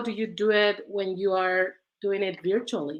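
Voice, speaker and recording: Her tone is bright and sharp, set at a medium pitch. This woman speaks at a moderate pace. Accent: Mexican. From Mexico. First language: Spanish. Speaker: researcher. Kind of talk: panel discussion.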